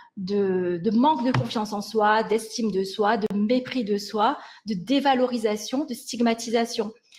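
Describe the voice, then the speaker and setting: Fairly slow speech from a woman with a fairly high pitch and ordinary pitch variation, amid noticeable background noise. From Mauritius. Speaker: linguistics researcher, lecturer. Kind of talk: lecture. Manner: hesitant, many fillers.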